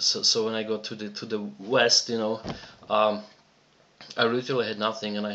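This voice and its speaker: This man speaks with a Czech accent at a moderate pace, his pitch fairly low. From Czechoslovakia. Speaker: online business promoter. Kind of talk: personal story in a sales video. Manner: halting, many fillers and repetitions.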